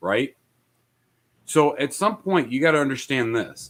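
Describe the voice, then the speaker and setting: Lively intonation runs through an unremarkable speaking voice at a moderate pace, captured in a very clean recording with a silent background. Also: man. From immigrant, came to US via Italy and Austria. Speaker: podcast panelist. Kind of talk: casual debate.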